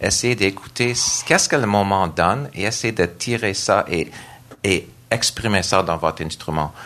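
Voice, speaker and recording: Speaking at a fairly slow pace, a man with a fairly low pitch talks in an English accent. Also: ordinary pitch variation. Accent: English-speaker accent in French. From Nova Scotia, Canada. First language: English (speaking French). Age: 50s. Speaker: church worship director and organist. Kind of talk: panel discussion. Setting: stage with audience.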